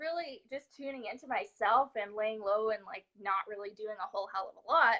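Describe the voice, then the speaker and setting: A woman speaks with lively intonation. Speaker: confidence coach. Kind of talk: live stream chat. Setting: live stream at home. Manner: casual, filler-heavy.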